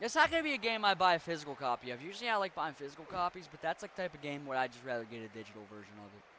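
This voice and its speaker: Talking at a very fast pace with hardly any pauses, a man with an American accent has a fairly high pitch. His voice shows very wide pitch swings and big swings in loudness. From western Maryland / Pittsburgh area. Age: 20s. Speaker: video game streamer. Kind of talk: casual gaming livestream chat. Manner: casual, profane.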